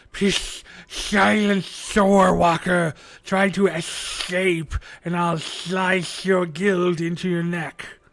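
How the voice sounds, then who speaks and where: A man's put-on character voice, high in pitch and at a very slow pace. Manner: menacing, threatening.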